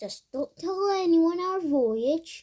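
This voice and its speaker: Her pitch is extremely high. The woman is doing a put-on character voice. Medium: read story. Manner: firm.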